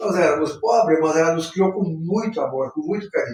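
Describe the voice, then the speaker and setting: Pitched high, the man's voice moves at a fairly quick pace. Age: 70s. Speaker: spiritist center leader. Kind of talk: live talk on spiritism and depression. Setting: spiritist center, live stream. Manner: halting.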